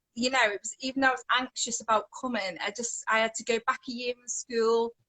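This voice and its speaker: Her voice is high, flat and monotone as a woman speaks in a Scouse accent. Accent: Liverpool (Scouse), acquired. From English Midlands, Coventry area. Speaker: worship singer. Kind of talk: testimony. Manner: rambling, hesitant.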